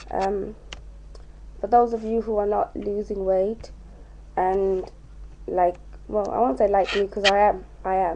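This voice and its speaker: Speaking with a British accent, a woman talks fairly slowly in a dark, mellow tone, her intonation flat and monotone, with long, frequent pauses. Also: medium pitch for a woman. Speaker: vlogger. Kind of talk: casual vlog. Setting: at home.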